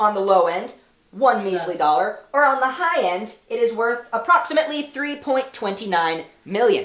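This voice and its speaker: A female-sounding, squeaky put-on character voice sits fairly high in pitch for a woman. It moves at a moderate pace. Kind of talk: comedic analysis talk.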